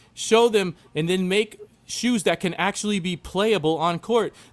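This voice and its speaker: This man's voice is high in pitch, with lively intonation. He talks at a fairly slow pace. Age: 30s. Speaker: sneaker enthusiast guest. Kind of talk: casual chat. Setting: live stream. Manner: animated.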